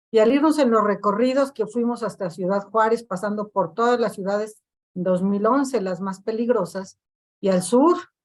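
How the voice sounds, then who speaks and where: Here is a woman with an ordinary speaking voice. She has a fairly high pitch, ordinary pitch variation and a moderate pace. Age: 60s. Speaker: victims' collective activist. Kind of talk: panel discussion.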